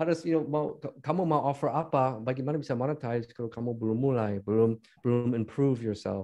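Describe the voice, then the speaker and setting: Speaking with an English accent, a man talks very fast with hardly any pauses. His medium-pitched voice has a dark, mellow tone and ordinary pitch variation. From United States. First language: English (speaking Indonesian). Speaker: business founder and podcaster. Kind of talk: casual chat. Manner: halting, mixes in English.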